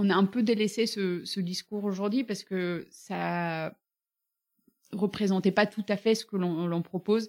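A woman's medium-pitched voice moves fairly slowly with fairly even intonation. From Bulgaria. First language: Bulgarian (speaking French). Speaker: fitness studio founder. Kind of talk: casual interview. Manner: hesitant, many fillers.

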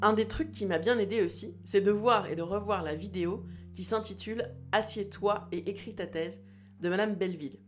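Audible room echo follows this woman as she talks at a moderate pace. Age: 30s. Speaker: podcast host and doctoral student. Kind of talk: personal audio diary narration.

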